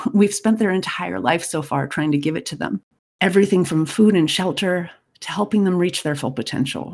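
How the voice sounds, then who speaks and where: Speaking at a fairly quick pace, a woman uses a fairly low pitch with vocal fry. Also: ordinary pitch variation. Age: 50s. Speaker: podcast host and parenting coach. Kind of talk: solo podcast monologue.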